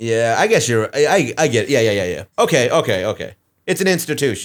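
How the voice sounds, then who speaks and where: A man with an American accent, fairly high in pitch, with very wide pitch swings and vocal fry, at a fairly quick pace. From Texas. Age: 30s. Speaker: comedian podcast co-host. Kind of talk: casual chat.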